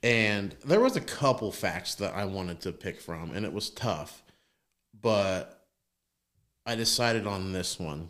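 Using an unremarkable speaking voice, a man talks at a fairly slow pace in a fairly low pitch with ordinary pitch variation. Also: very clean recording, silent background. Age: 30s. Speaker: podcast co-host. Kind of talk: casual chat.

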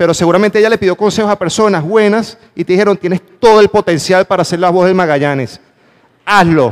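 A man with a Venezuelan accent talks at a very fast pace and high pitch, with an animated tone and ordinary pitch variation. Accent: Venezuelan, noticeable to Panamanians. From Venezuela, Valencia. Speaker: motivational speaker. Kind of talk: motivational talk. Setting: stage with audience.

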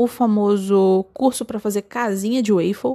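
A woman with a medium pitch and a dark, mellow tone speaks at a moderate pace with ordinary pitch variation. The sound is dry and close with no echo, and the recording is very clean with a silent background. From interior of Rio de Janeiro state, Brazil. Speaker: podcast host, designer. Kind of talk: casual solo monologue. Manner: playful, humorous.

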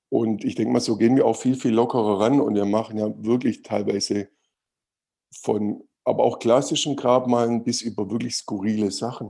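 Here a man speaks at a medium pitch in a dark, mellow tone with fairly even intonation. The recording is very clean with a silent background. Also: moderate pace. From Swabia, Germany (Winnenden near Stuttgart). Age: 40s. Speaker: steel grave marker maker, business owner. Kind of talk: podcast interview. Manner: hesitant, repeats words.

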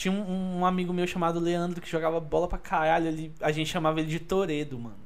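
There is noticeable background noise behind a high-pitched man. He speaks very fast with fairly even intonation. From Brasília (Taguatinga and Asa Norte). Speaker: podcast guest. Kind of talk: casual chat.

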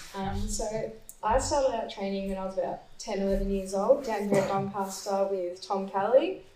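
With an Australian accent, a woman speaks at a medium pitch and moderate pace with fairly even intonation over noticeable background noise. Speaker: distance runner. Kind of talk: panel Q&A. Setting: stage with audience.

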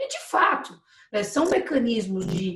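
A woman speaks with very wide pitch swings. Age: 40s. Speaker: municipal economic development secretary. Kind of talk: live webinar interview. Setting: video call live stream.

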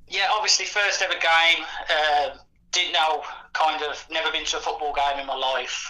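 Over noticeable background noise, a man speaks at a moderate pace, his fairly high pitch varying in an ordinary way. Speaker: football fan guest.

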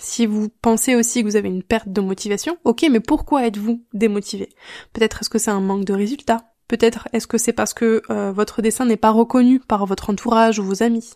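The sound is dry and close, with no echo. A woman with a fairly high voice and a dark, mellow tone speaks at a fairly quick pace with fairly even intonation. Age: 30s. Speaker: online drawing teacher and podcast host. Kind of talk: solo podcast advice talk.

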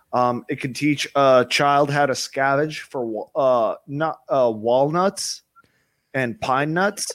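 Very slowly, a man speaks at a fairly high pitch. His pitch varies in an ordinary way. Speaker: caller.

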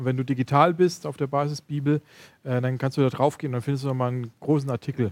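Fairly even in intonation, a man with a medium pitch speaks at a very fast pace. The recording is very clean, with a silent background. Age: 30s. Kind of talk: casual chat.

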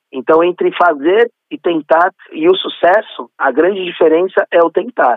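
Here is a man with a São Paulo accent. His pitch is high and varies in an ordinary way. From São Paulo state, Brazil. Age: 30s. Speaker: event organizer. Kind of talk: interview.

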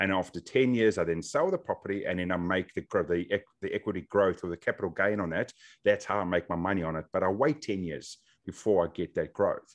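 Against a quiet background, a man with a fairly low pitch races along at a very fast pace with ordinary pitch variation. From South Africa. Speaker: podcaster and real estate mentor. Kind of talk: casual interview. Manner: casual, filler-heavy.

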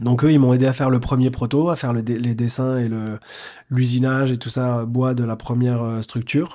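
This very clean recording has a silent background. On it, a man talks at medium pitch in a dark, mellow tone. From France, Nantes. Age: 40s. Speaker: entrepreneur and former athlete. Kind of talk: interview.

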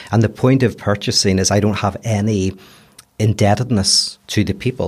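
A man talks at a fairly low pitch in a strong Belfast accent. His pace is fairly quick and his intonation fairly even. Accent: Belfast accent, kept strongly. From Belfast, Northern Ireland. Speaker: philosopher. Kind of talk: casual chat.

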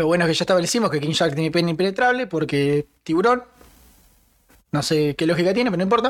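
The speaker has a Rioplatense accent. The pace is very fast. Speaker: podcast co-host. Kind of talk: casual chat.

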